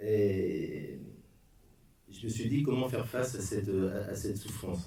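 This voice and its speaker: The speaker goes at a fairly slow pace with ordinary pitch variation. Noticeable background noise and audible room echo are present. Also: man, fairly low pitch for a man. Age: 60s. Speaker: bereaved father giving a talk. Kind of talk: testimony. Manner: halting.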